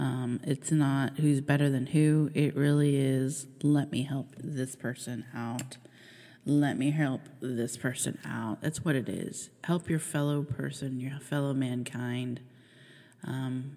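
Very slowly, a woman speaks with a very deep, low pitch. Her tone is dark and mellow, and her intonation is monotone and flat. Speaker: podcast host. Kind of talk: casual monologue.

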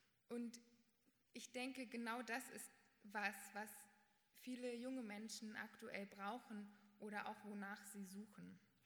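The delivery is very slow, broken by long, frequent pauses. Intonation stays monotone and flat. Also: woman, fairly high pitch for a woman. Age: young. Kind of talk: prepared statement.

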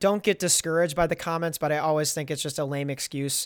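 Over a silent background in a very clean recording, a man with a plain, everyday voice speaks at a fairly high pitch with fairly even intonation. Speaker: rapper and podcast host. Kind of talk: casual chat.

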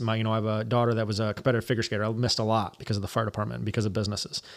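A man's voice, very clean recording, silent background. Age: 30s. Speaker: hunter, outdoor apparel business owner and firefighter. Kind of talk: casual chat.

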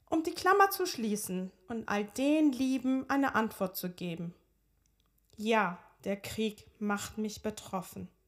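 The voice moves at a very slow pace with lively intonation. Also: woman, fairly high pitch for a woman. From Iran (Tehran), moved to Hamburg at 13. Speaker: podcast host and personal coach. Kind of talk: personal storytelling monologue.

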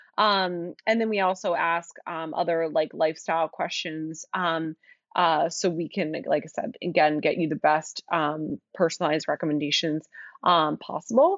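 In an American accent, a woman with an ordinary speaking voice talks at a moderate pace, fairly low in pitch with fairly even intonation. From Philadelphia area, US. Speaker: skincare company founder. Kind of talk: casual interview chat.

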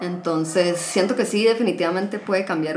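A woman with a Costa Rican accent speaks in a fairly low pitch with ordinary pitch variation, with audible room echo and noticeable background noise. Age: 20s. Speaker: podcast guest, HR worker and psychology student. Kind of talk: casual chat.

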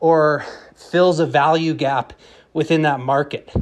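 A man speaks at a fairly slow pace in an unremarkable speaking voice with a fairly high pitch. His intonation stays fairly even against a quiet background. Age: 30s. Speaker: podcast host. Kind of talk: casual solo monologue. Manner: casual, many filler words.

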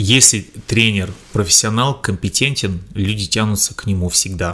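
A man's fairly low, bright and sharp voice at a moderate pace with fairly even intonation. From Russia, Tomsk. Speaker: fitness trainer. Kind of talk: interview.

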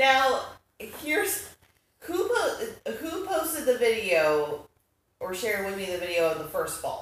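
Pausing long and often, a woman with vocal fry speaks at a fairly high pitch with very wide pitch swings. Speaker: wrestling podcast co-host. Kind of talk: casual chat.

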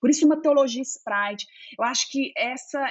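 A woman with a mineiro accent and ordinary pitch variation. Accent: mineiro Brazilian. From Minas Gerais, Belo Horizonte. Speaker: theologian. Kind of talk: interview conversation.

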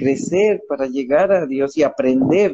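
Speaking with a Mexican accent, a man has a dark, mellow tone. His intonation is lively and his pace very slow. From Mexico. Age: 60s. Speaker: author and motivational speaker. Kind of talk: interview about his book.

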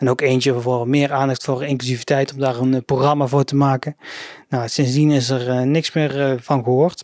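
Medium in pitch, a man speaks at a moderate pace with monotone, flat intonation and very even loudness. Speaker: local news podcast host. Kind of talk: casual news roundup. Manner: hesitant, many filler sounds.

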